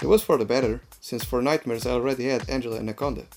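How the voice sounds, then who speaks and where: With a strong non-native accent, the speaker talks at a fairly quick pace over music in the background. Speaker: game reviewer. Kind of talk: comedic game review narration.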